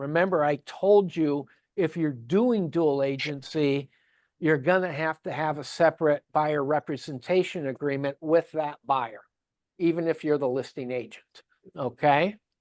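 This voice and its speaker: A fairly slow pace against a quiet background. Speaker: real estate forms instructor. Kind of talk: training class.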